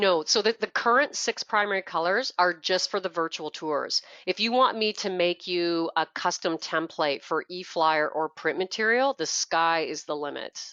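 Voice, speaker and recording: A woman with a Canadian accent and ordinary pitch variation. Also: fairly low pitch for a woman, moderate pace, hardly any pauses. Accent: Canadian, noticeable. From Canada. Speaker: product trainer. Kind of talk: tutorial.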